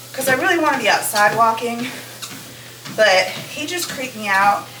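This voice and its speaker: Loud and high-pitched, a woman speaks at a moderate pace with lively intonation, amid noticeable background noise and audible room echo. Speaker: lifestyle vlogger. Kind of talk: casual vlog talk. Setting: outdoors then indoors on treadmill.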